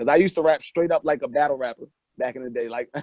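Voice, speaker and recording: A man in a New York accent talks at a very fast pace, the recording dry and close with no echo. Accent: New York accent still audible. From New York (Mount Vernon), moved to North Carolina at 13. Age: 20s. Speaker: rapper. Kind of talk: interview.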